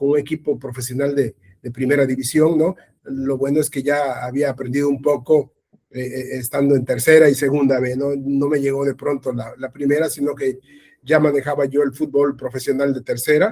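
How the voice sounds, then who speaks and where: At a fairly quick pace, a man with a fairly high pitch and a dark, mellow tone keeps his intonation fairly even. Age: 60s. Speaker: sports journalist. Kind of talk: interview. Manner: halting, many repetitions.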